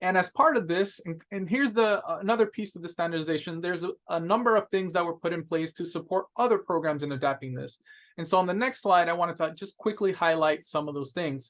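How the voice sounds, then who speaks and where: A man with a high voice talks at a very fast pace with hardly any pauses and ordinary pitch variation. The background is quiet. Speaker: webinar presenter, data officer; webinar presenter. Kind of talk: webinar training presentation. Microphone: webcam.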